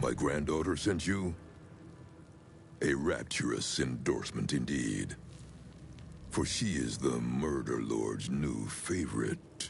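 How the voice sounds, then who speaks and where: A man uses a put-on character voice with a very deep, low pitch. He speaks at a fairly slow pace with long, frequent pauses over clear background noise. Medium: video game. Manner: slow, commanding, menacing.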